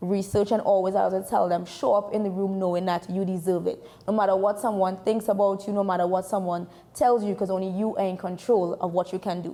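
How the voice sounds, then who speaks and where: A woman with a Trinidadian accent at a very fast pace, fairly even intonation, and noticeable background noise. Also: medium pitch for a woman. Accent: Trinidadian accent, once called too thick. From Trinidad and Tobago. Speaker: sports information director and journalist. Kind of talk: interview.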